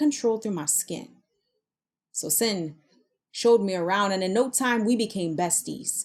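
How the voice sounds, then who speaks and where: Lively intonation from a woman at a moderate pace, an unremarkable speaking voice set at a fairly high pitch. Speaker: spoken word poet. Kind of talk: spoken word poetry performance.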